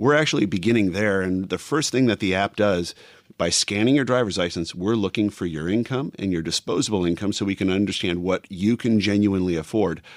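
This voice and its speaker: This man has a normal speaking voice with a fairly low pitch. He talks at a fairly quick pace with hardly any pauses on a very clean recording with a silent background. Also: ordinary pitch variation. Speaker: startup founder. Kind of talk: business interview.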